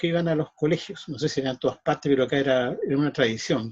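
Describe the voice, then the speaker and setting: The man speaks with a Chilean accent at a fairly high pitch. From Chile, Santiago. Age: 60s. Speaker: magician. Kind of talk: interview. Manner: halting.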